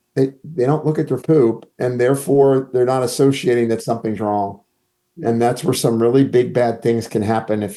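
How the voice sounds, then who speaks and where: A man with a plain, everyday voice and medium pitch. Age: 60s. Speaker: clinical pharmacist and nutritionist. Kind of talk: casual interview chat.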